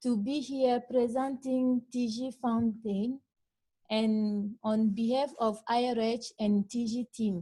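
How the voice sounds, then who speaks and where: A woman speaks very slowly in a high pitch with fairly even intonation. Her tone is dark and mellow. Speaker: monitoring and evaluation researcher. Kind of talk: conference presentation.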